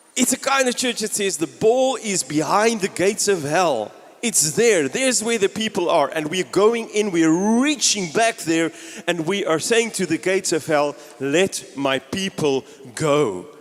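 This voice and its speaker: An animated man speaks with lively intonation at a high pitch. His pace is fairly slow. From South Africa (Gauteng, East Rand). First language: Afrikaans. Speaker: pastor. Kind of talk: sermon.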